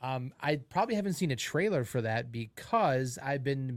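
A man with a plain, everyday voice speaks at a medium pitch and moderate pace. The recording is very clean, with a silent background. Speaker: podcast co-host. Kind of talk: casual sports banter.

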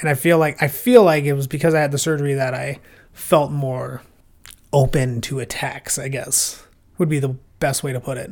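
A man with an American accent has a normal speaking voice, fairly high in pitch. His intonation is fairly even and his pace moderate. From Minnesota, Plymouth. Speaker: podcast guest, podcast co-host elsewhere. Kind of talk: casual chat.

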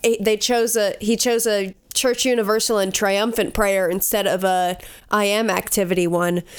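A woman uses a plain, everyday voice. Her loudness stays very even, with fairly even intonation. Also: medium pitch for a woman, moderate pace. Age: 20s. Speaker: podcast co-host. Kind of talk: casual chat.

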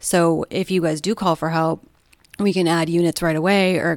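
A woman talks at a moderate pace in a normal speaking voice, fairly low-pitched with fairly even intonation, in a very clean recording with a silent background and a dry, close sound with no echo. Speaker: police dispatcher. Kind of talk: casual conversation.

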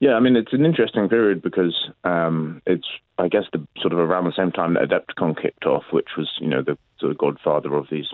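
A man speaks with a London accent. His pace is fairly quick, with ordinary pitch variation. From London, England. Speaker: tournament organiser. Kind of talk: interview.

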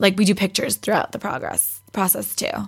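Very clean recording of a woman speaking, the background silent. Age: 20s. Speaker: podcast guest, fitness competitor. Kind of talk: casual chat.

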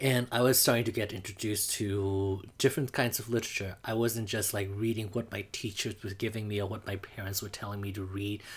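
This man speaks at a fairly quick pace with a Burmese accent and hardly any pauses. His voice is fairly low in pitch, somewhat breathy, and monotone with flat intonation. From Mandalay, Myanmar. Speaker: drag performer and producer. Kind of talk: personal coming-out story.

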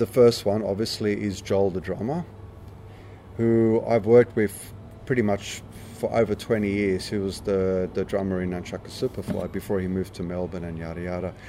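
Fairly low in pitch, a man's voice has a dark, mellow tone, fairly even intonation and a moderate pace. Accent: Australian. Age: 50s. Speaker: punk musician. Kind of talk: interview. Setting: backstage at a pub.

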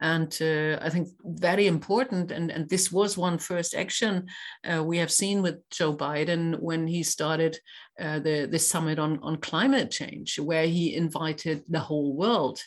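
Against a quiet background, a woman in a German accent speaks fairly slowly at a fairly low pitch with ordinary pitch variation. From Germany (Kiel). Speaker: business association president. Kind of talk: interview. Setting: podcast recording. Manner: hesitant, many fillers.

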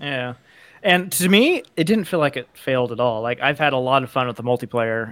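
With a normal speaking voice at medium pitch, a man talks with lively intonation. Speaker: podcast co-host. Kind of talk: casual chat.

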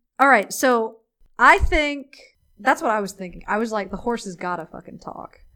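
A woman with a fairly high pitch talks at a moderate pace, her bright, sharp tone carrying lively intonation and big swings in loudness. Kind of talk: casual chat. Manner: animated. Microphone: crackling voice track.

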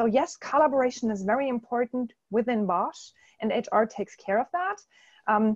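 With a German accent, a woman speaks at a fairly high pitch and ordinary pitch variation. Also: dry, close sound with no echo. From Germany. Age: 40s. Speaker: corporate consultant. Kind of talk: interview. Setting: webinar call.

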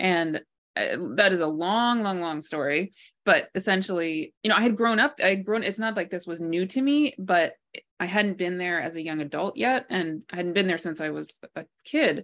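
With an American accent and an unremarkable speaking voice, a woman talks at a moderate pace and a medium pitch with lively intonation. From multinational childhood: Bangladesh, Pakistan, Kenya, US (DC area). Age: 40s. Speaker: author and astrologer. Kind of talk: interview conversation.

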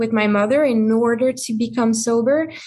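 A woman with a French accent at a fairly high pitch, moderate pace and fairly even intonation, in a quiet background. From France. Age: 20s. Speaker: person in recovery, small business owner. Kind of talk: casual interview. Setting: video call.

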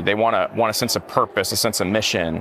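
At a moderate pace, a man with an unremarkable speaking voice talks with ordinary pitch variation. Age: 30s. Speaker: military chaplain. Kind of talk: casual chat. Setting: conference floor.

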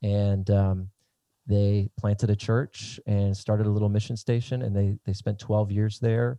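Against a quiet background, a dark, mellow tone comes through at a fairly slow pace, with flat, monotone intonation and a dry, close sound with no echo. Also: man, fairly low pitch for a man. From southern Minnesota. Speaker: pastor and missionary. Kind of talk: podcast interview.

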